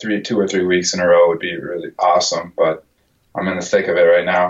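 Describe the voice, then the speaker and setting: A man with an American accent, a fairly low pitch and monotone, flat intonation, at a fairly quick pace. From Minnesota. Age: 20s. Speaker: podcast guest in alcohol recovery. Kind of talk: interview. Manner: halting, repeats words.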